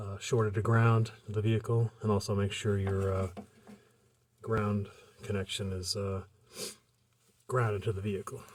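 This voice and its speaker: Mumbling at a moderate pace, a man sounds somewhat breathy, with a fairly low pitch. His intonation is monotone and flat, with long, frequent pauses. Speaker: car hobbyist. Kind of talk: tutorial. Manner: hesitant, many fillers. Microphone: poor audio quality.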